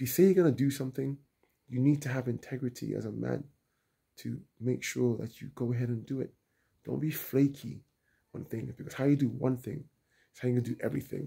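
In a quiet background, a man talks at a fairly quick pace with fairly even intonation and a dark, mellow, somewhat breathy tone. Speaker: travel vlogger. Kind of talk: casual vlog chat. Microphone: phone near.

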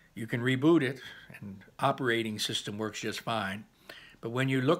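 The speaker is reading aloud. The voice sounds natural.

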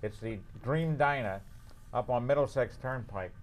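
A man talks at a moderate pace, his intonation lively. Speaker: show host. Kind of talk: comic talk-show banter. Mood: joking, playful teasing. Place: studio.

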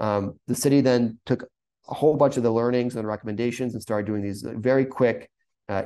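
With an American accent, a man speaks at a fairly quick pace and fairly even intonation. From US Northeast, rural coastal Maine; US Northeast. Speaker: urban planner; presenter. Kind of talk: webinar presentation. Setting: video call.

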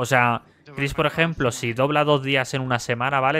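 A bright, sharp tone marks this man's speech at a moderate pace. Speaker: streamer. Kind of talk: live gameplay roleplay stream chat.

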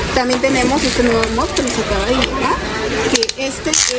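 The speech moves at a moderate pace. Loud background noise sits behind it. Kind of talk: product presentation. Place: shop. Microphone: phone near.

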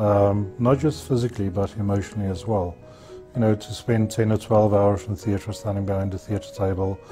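Clear music plays in the background. A man speaks at a fairly low pitch with fairly even intonation. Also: moderate pace. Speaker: interviewee. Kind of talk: interview answer. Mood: reflective, candid. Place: studio. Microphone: lapel.

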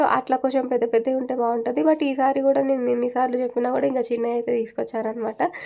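This woman's voice sits at a high pitch with a dark, mellow tone. She keeps her intonation fairly even. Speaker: vlogger. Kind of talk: casual vlog narration.

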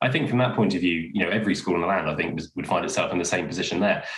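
Some room echo can be heard as a man talks in a fairly low voice. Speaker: school head teacher. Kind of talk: interview. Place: home room. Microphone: webcam.

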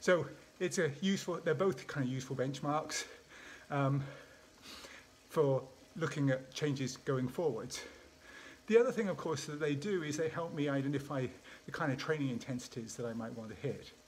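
The speech moves at a moderate pace with ordinary pitch variation and long, frequent pauses over light background noise. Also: man. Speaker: sports scientist vlogger. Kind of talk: casual vlog chat. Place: home room. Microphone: phone near.

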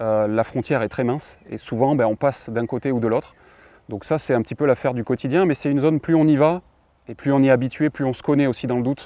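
With a dark, mellow tone and medium pitch, a man talks at a very fast pace with ordinary pitch variation, the sound dry with no echo. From southwest France. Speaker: rowing athlete and engineer. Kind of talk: interview monologue. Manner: hesitant, many fillers. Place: garden. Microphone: lapel.

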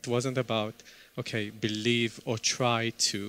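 A man is talking. The sound is dry, with no echo. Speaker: speaker. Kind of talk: talk to an audience. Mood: warm, smiling, humorous. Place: hall. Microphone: headset.

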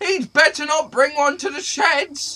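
This is a put-on character voice. It sounds high-pitched and squeaky. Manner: squeaky, frightened.

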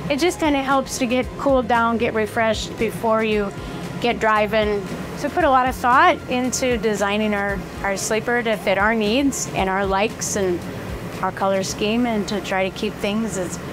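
Music sits in the background behind speech with ordinary pitch variation. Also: woman, moderate pace. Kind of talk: tour guide chat. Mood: warm, proud. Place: home room.

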